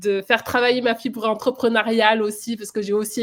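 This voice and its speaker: A woman talks fairly quickly at a fairly high pitch. Her intonation stays flat and monotone. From France. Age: 30s. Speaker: flight nurse. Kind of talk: interview testimony.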